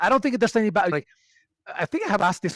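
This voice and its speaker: In a very clean recording with a silent background, a man with a Venezuelan accent uses lively intonation, the sound dry and close with no echo. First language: Spanish. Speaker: HR expert and community builder. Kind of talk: podcast interview.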